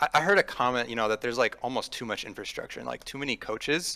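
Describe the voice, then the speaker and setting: A man's medium-pitched voice with a bright, sharp tone and ordinary pitch variation, in an American accent. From Minnesota. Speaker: caller. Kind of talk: call-in opinion.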